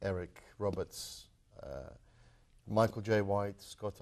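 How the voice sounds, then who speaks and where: In a British accent, a man speaks in a flat monotone at a fairly low pitch against a quiet background. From London, England (moved from Croatia at 12). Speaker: martial arts film actor. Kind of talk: interview. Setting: TV studio.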